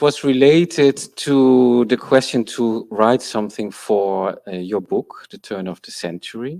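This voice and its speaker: This man talks very slowly at a medium pitch. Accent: Dutch. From Netherlands. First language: Dutch. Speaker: architectural historian. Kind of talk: conference talk. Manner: halting.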